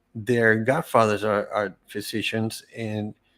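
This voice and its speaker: In a very clean recording with a silent background, a man with a Spanish accent talks at a fairly slow pace and a medium pitch. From Venezuela. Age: 60s. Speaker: cancer survivor, entrepreneur. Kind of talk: interview testimony. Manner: halting, many repeated words.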